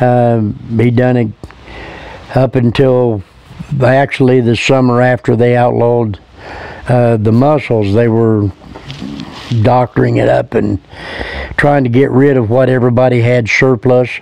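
Over music in the background, a man with an American accent speaks at a fairly slow pace with long, frequent pauses, a relaxed tone, monotone, flat intonation and very even loudness, in a dry sound with no echo. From Indiana, USA. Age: 70s. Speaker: local man recalling the past. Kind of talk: interview answer. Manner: relaxed, folksy, hesitant. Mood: relaxed, fond reminiscing. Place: garden.

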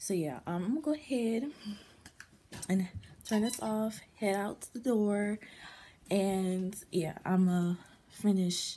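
A woman speaks at a fairly slow pace with ordinary pitch variation and a somewhat breathy sound. Her delivery has long, frequent pauses. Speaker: vlogger. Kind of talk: casual vlog chat. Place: home room. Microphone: phone near.

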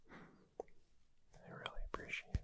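Soft-spoken whispering. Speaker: audio roleplay narrator. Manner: soft intimate whisper.

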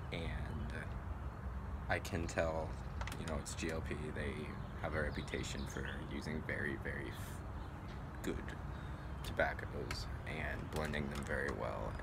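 Loud background noise sits behind a man's voice. He talks at a fairly slow pace with long, frequent pauses. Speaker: pipe tobacco reviewer. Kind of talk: casual review talk. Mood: relaxed, reflective. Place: street. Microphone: phone near.

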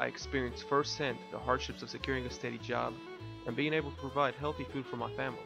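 A man speaks at a very fast pace. Music plays in the background. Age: 20s. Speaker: farmer; war veteran. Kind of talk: crowdfunding pitch narration.

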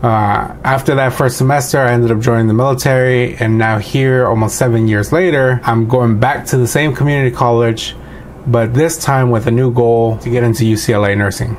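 With a Californian accent, a man speaks at a medium pitch and a fairly quick pace, his intonation fairly even and his loudness very even. Light background noise sits behind him. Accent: Californian American English. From Los Angeles, San Fernando Valley. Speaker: army veteran and nursing student. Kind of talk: video essay monologue. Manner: casual, with filler words. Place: home room. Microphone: webcam.

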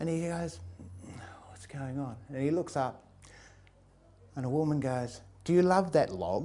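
A man's dark, mellow tone at a fairly high pitch, with lively intonation, big swings in loudness, a fairly slow pace and long, frequent pauses. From England, raised in Australia. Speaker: storyteller. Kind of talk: storytelling. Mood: relaxed, amused. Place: hall. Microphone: lapel.

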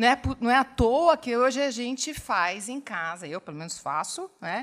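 Very wide pitch swings from a woman speaking at a fairly slow pace. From Brazil. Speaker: public administration expert. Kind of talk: panel Q&A. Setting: auditorium with audience. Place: hall. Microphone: podium.

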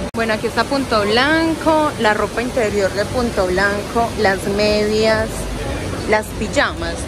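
A woman talks at a very slow pace over loud background noise. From Medellín, Colombia. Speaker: travel vlogger. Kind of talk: casual talk to camera. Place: hall. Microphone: phone near.

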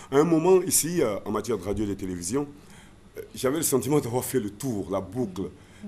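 A man speaks at a moderate pace in a dark, mellow tone. His pitch varies in an ordinary way over light background noise. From Côte d'Ivoire, Abidjan (Adjamé); Côte d'Ivoire. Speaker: former radio and TV presenter; former radio, TV presenter. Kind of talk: interview. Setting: studio. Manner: halting, many repetitions. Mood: relaxed, reminiscing. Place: studio. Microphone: studio mic.

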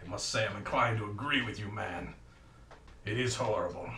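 A man's cartoonish character voice at a medium pitch, with a slight echo. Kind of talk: comic melodramatic overacting. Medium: puppet show. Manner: pompous, theatrical, exclamatory.

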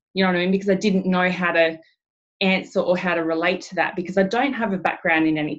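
A woman with an Australian accent talks at a very fast pace. Her pitch varies in an ordinary way over a quiet background. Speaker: network marketing director. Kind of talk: team training webinar. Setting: video call. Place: home room. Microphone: webcam.

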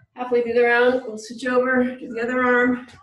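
There is audible room echo as a woman speaks quickly at a high pitch. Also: quiet background. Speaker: workout instructor. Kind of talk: exercise instruction. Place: gym.

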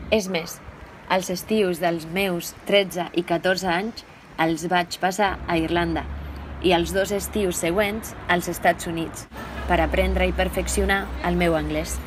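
A woman with a Spanish accent speaks at a very slow pace over noticeable background noise. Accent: Spanish (Castilian) accent in Catalan. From Spain, La Rioja (Logroño). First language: Spanish (speaking Catalan). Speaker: Catalan language learner. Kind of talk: reading aloud.

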